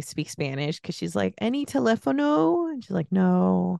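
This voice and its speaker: A woman with an American accent is heard in a dry, close recording with no echo against a quiet background. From US West Coast, San Francisco Bay Area. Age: 40s. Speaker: podcast guest. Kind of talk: casual chat.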